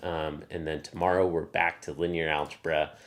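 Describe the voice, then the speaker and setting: In a very clean recording with a silent background, a man talks with a slight Southern US accent. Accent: slight Southern drawl. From US South. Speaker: math practice streamer. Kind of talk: live stream casual teaching. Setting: live stream. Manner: slow, drawling; filler-heavy, halting.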